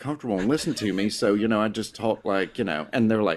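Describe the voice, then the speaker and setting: The recording is very clean, with a silent background. In it, a man speaks at a very fast pace. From US South. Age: 40s. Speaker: professor. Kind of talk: casual chat.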